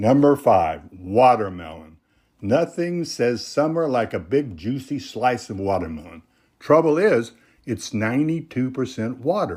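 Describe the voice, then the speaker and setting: In a very clean recording with a silent background, a man with vocal fry and a warm tone speaks at a medium pitch and a fairly slow pace, his voice making very wide pitch swings. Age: 80s+. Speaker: senior health YouTuber. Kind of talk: casual talk to camera. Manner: folksy, warm.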